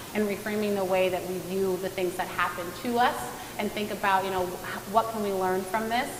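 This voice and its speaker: Fairly quick, monotone, flat delivery from a woman, with noticeable background noise and audible room echo. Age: 30s. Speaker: nutrition and fitness coach. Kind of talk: panel discussion. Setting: virtual event.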